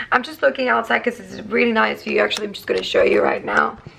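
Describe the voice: At a very fast pace, a woman puts on a hoarse, raspy character voice.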